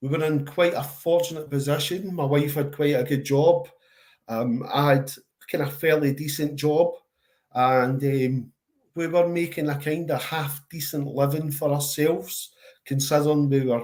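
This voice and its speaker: A man with a strong Glaswegian accent, his pitch fairly high for a man, his intonation flat and monotone. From Scotland, Glasgow. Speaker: charity worker and father. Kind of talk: interview. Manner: slow and steady.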